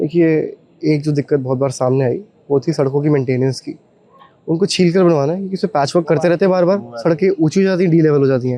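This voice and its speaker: Through noticeable background noise, a man speaks with a fairly high pitch and ordinary pitch variation. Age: 20s. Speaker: newly elected local councillor. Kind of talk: on-the-spot interview.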